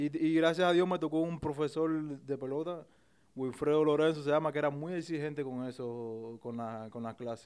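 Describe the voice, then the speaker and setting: A man with a Cuban accent, fairly high in pitch, with ordinary pitch variation and a moderate pace. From Cuba, Isla de la Juventud. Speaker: professional baseball player. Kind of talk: casual interview. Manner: halting, many repetitions and fillers.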